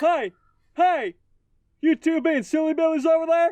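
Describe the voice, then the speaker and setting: Using a put-on character voice, the speaker talks at a moderate pace in a high pitch. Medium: solo performance. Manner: gruff, threatening.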